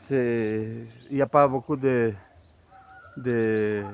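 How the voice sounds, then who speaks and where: A man's medium-pitched voice with a non-native accent, fairly even intonation and a very slow pace amid noticeable background noise. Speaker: amateur history youtuber. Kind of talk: casual monologue. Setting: outdoors, walking. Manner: halting, many hesitations.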